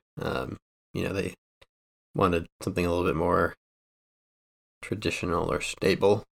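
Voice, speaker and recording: Very deep and low, a man's voice with vocal fry moves at a moderate pace but breaks into long, frequent pauses, all dry and close with no echo. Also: ordinary pitch variation. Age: 30s. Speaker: illustrator and podcast host interviewing himself. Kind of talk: casual interview chat. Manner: halting, many filler words.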